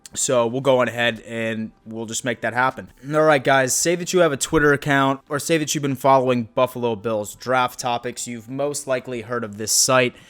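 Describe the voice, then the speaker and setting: Music plays in the background while the talking goes at a moderate pace, its pitch varying in an ordinary way. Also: man. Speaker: YouTube NFL commentator. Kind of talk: casual vlog commentary. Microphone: new microphone.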